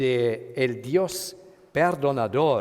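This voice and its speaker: A man speaks with a German accent at a fairly high pitch. His pitch varies an ordinary amount. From Germany. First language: German (speaking Spanish). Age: 50s. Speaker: pastor. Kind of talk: sermon. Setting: church retreat. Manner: halting.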